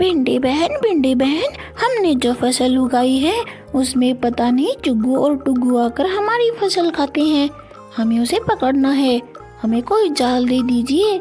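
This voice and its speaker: With clear music in the background, a female-sounding cartoonish character voice moves at a fairly slow pace. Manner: brisk, commanding.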